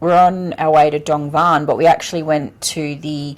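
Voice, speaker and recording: A woman with a strong Australian accent and a very deep, low pitch. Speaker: travel vlogger. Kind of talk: casual chat. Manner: animated.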